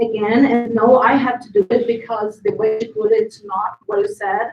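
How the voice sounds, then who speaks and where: In a Portuguese accent, a woman talks at a moderate pace with a high pitch and ordinary pitch variation. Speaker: playwright. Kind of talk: panel discussion.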